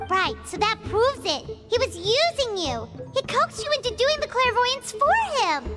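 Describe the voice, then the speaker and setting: In a cartoonish character voice at an extremely high pitch, the speaker goes at a moderate pace over loud music in the background. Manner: blunt, excitable.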